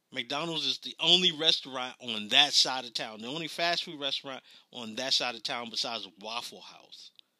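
Speaking at a moderate pace, a man with a medium pitch and ordinary pitch variation has an unremarkable speaking voice. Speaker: podcaster. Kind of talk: angry rant. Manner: indignant, sputtering and repetitive, firing off rhetorical questions.

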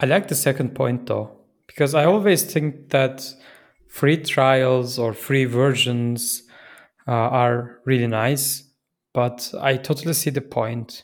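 A man with a Turkish accent speaks very slowly at a medium pitch with ordinary pitch variation, in a very clean recording with a silent background. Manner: halting, with fillers.

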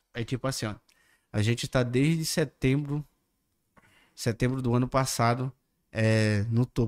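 A man with a medium pitch speaks at a fairly slow pace with fairly even intonation and long, frequent pauses, in a very clean recording with a silent background and a dry, close sound with no echo. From Manaus, Brazil. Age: 30s. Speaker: digital content creator. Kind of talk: casual chat. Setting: podcast studio, livestream.

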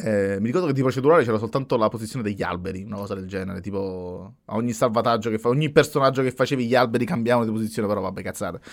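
Speaking very fast with hardly any pauses, a man of medium pitch shows ordinary pitch variation on a very clean recording with a silent background. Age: 30s. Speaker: podcast host. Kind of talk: casual chat. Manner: halting.

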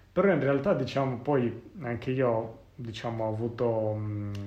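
A man at a very slow pace with fairly even intonation, audible room echo and noticeable background noise. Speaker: podcast host. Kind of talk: casual chat.

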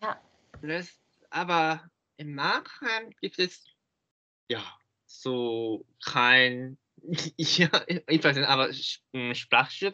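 A man with a Japanese accent, fairly high in pitch, with a bright, sharp tone and very wide pitch swings. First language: Japanese (speaking German). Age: 20s. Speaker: German learner. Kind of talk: interview. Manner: halting.

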